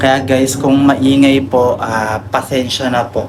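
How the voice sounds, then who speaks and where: A man at a medium pitch and moderate pace, with noticeable background noise and audible room echo. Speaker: vlogger. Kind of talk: casual vlog tutorial. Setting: outdoors by the street. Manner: loud.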